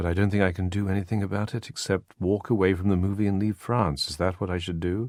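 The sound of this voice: With fairly even intonation, the delivery stays an unforced reading voice.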